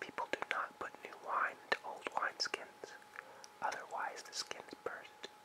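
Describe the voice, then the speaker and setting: A whispered voice at a fairly slow pace, with noticeable background noise. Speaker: ASMR artist. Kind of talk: scripture reading.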